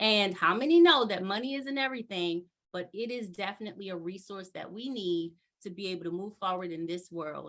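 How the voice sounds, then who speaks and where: A woman's medium-pitched, animated voice at a fairly quick pace, with ordinary pitch variation and big swings in loudness. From US, Baltimore, Maryland. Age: 40s. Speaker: motivational business speaker. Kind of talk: webinar presentation.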